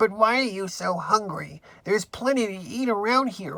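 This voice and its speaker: Someone talks in a put-on character voice at a moderate pace. The pitch is fairly high. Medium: read story. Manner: measured, moralizing.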